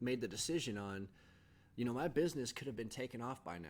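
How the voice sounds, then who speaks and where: This man's voice sits at a medium pitch. His pitch variation is ordinary. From Southern California. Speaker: podcast host. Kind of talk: casual monologue. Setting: home video setup with green screen. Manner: halting, many fillers and repeats.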